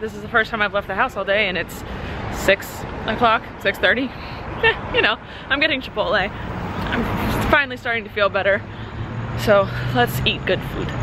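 A woman's voice, dry with no echo, with long, frequent pauses and noticeable background noise. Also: moderate pace. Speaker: vlogger. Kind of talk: casual vlog chat.

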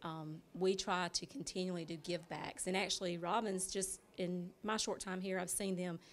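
In a Southern US accent, a woman speaks at a medium pitch with monotone, flat intonation. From Dublin, Georgia, US South. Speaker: bank branch manager. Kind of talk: interview. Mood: upbeat, promotional. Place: shop. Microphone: handheld.

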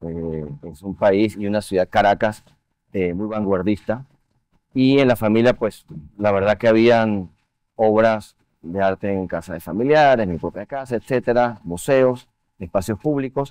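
A man with an ordinary speaking voice talks at a fairly slow pace in a fairly low pitch with ordinary pitch variation, the sound dry with no echo and the background quiet. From Venezuela. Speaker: art museum board chair and finance executive; guest. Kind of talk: TV interview. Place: studio.

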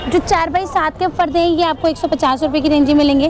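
A woman's high voice at a fairly quick pace, ordinary pitch variation, dry sound with no echo, and noticeable background noise. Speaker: market vlogger. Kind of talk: casual vlog chat. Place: market. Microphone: lapel.

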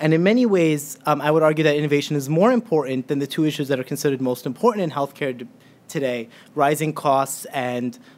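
His pace is very fast. The man's pitch shifts in an ordinary way. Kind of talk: lecture. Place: hall. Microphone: podium.

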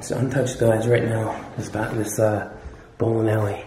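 A man speaks at a moderate pace with a dark, mellow tone and fairly low pitch. There is little pitch movement, and room echo is audible.

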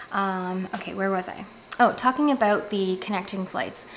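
Over light background noise, a woman talks at a moderate pace with a medium pitch. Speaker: lifestyle YouTuber and parent. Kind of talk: casual talk-to-camera tips video. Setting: home, background construction noise. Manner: chatty, frequent filler words. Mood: relaxed, friendly. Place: home room.

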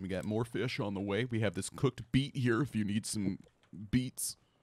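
In a strained, put-on character voice, a man talks at a moderate pace and medium pitch. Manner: silly, strained cooking voice.

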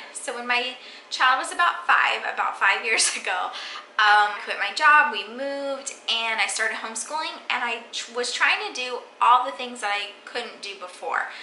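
A woman with a high pitch talks at a moderate pace. Audible room echo and light background noise are present. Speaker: home cooking vlogger. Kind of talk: casual vlog chat. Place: kitchen. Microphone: phone near.

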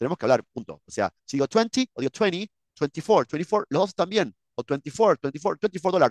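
In an Argentine accent, a man speaks with vocal fry and very wide pitch swings, in a dry sound with no echo over a quiet background. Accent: Rioplatense Argentine Spanish. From Argentina, Buenos Aires. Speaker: English teacher, YouTuber. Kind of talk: reaction video commentary. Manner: halting, many fillers and repetitions. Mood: opinionated, disagreeing. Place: home room.

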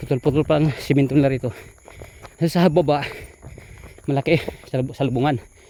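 Over noticeable background noise, a man with a fairly high pitch talks at a fairly quick pace, using fairly even intonation and long, frequent pauses. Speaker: travel vlogger. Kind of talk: vlog narration. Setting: outdoors on the road. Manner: rambling, unbroken flow.

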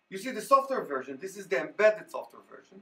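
A man's high, fast voice with big pitch swings, a bright, sharp tone, vocal fry and a slightly husky edge

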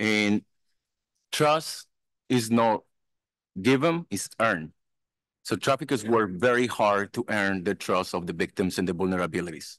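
Over a quiet background with a dry sound and no echo, a man with a fairly low pitch talks at a moderate pace with lively intonation and long, frequent pauses. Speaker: anti-trafficking consultant and survivor; conference speaker. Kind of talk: keynote testimony. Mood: earnest, personal. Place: hall. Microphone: podium.

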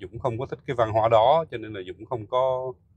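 Somewhat breathy, a man's voice comes through dry with no echo. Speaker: software engineer vlogger. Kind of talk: casual vlog chat. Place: car. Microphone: phone near.

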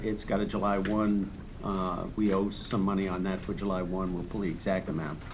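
Noticeable background noise runs beneath a man who speaks at a moderate pace. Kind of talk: meeting presentation. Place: meeting room. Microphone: podium.

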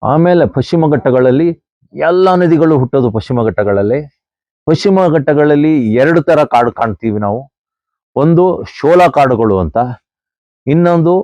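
A man's fairly high voice with lively intonation. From Western Ghats, Karnataka. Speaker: environmental activist. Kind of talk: outdoor talk to camera. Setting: outdoors. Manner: animated.

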